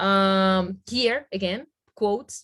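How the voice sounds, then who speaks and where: In a Spanish accent, a woman is talking. Her voice has a medium pitch. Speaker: Spanish language teacher. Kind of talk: webinar software demonstration. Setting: video call with screen sharing. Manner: halting, with many fillers.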